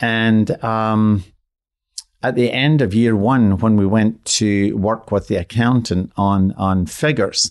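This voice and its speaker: A man at a very slow pace, fairly low in pitch with fairly even intonation, over a quiet background. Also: very even loudness. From Scotland. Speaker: floral designer. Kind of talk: interview.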